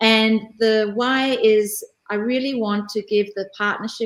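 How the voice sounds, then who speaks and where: A woman with an Australian accent, medium pitch and monotone, flat intonation. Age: 50s. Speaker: career coach. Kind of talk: interview conversation.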